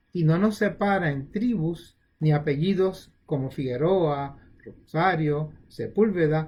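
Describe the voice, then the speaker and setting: His pitch rises and falls in an ordinary way. This man's voice is high. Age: 70s. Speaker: retired pediatric surgeon giving health talks. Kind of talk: informal health talk. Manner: halting.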